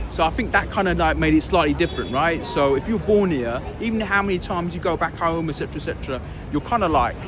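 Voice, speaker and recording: Against noticeable background noise, a man with a London accent talks very fast at a high pitch, with ordinary pitch variation. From London, England (Pakistani family). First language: Urdu or Punjabi. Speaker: interviewee, hip hop DJ and actor. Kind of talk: casual interview. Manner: animated.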